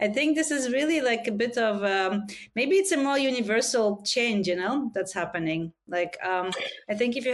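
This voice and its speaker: A woman talks with a non-native accent at a moderate pace. Her fairly high voice rises and falls in very wide swings. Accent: foreign. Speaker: podcast host. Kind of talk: interview.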